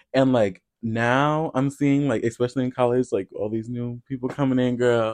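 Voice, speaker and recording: Monotone, flat intonation and an American accent come through at a moderate pace with hardly any pauses, in a dry, close sound with no echo against a quiet background. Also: man, medium pitch for a man. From US Midwest, Iowa. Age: young. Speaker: podcast co-host. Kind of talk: casual chat.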